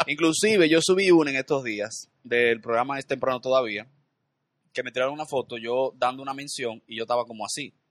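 The man's pitch is medium, with ordinary variation and a fairly quick pace. His loudness swings widely. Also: dry, close sound with no echo. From Dominican Republic, Santo Domingo. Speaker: comedian and TV host. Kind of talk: casual chat. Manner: animated.

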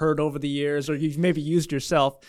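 A man with an American accent, fairly high in pitch and monotone, flat in intonation, on a very clean recording with a silent background. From California. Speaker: pastor. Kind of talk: interview hosting. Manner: fast.

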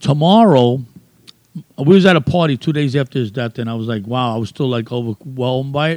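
Delivered at a fairly quick pace with ordinary pitch variation, the voice comes in a New York accent over a dry, close sound with no echo. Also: man. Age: old. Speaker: graffiti artist. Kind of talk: casual interview.

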